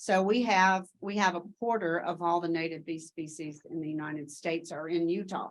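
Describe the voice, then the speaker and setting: With a Tennessee accent, a woman talks at a moderate pace with hardly any pauses, her pitch fairly low and her intonation fairly even. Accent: Southern US (Tennessee). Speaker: education researcher. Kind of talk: conference Q&A answer.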